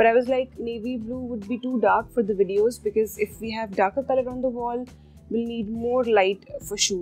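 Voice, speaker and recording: Faint music plays in the background. A woman speaks at a moderate pace with fairly even intonation. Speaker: cooking channel host. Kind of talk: casual vlog chat.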